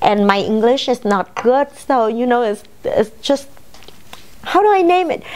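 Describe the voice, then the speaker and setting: Speaking at a fairly slow pace with a Vietnamese accent, a woman lets her pitch swing very widely. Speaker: salon owner and businesswoman. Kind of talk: personal testimony.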